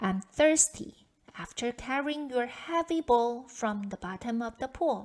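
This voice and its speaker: A woman's put-on character voice, high in pitch. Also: fairly slow pace. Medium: read story. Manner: polite, insistent.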